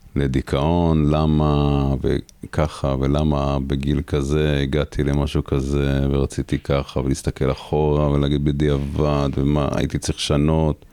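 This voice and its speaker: Noticeable background noise sits behind a man with a very deep, low voice who speaks very slowly in a flat monotone, at a very even loudness, with hardly any pauses. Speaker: reserve soldier. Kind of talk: interview.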